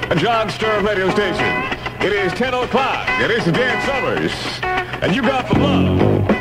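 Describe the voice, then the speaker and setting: A man keeps an average speed while loud music plays behind him. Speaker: radio disc jockey. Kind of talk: radio DJ station ID and song intro patter. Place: studio. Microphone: old recording.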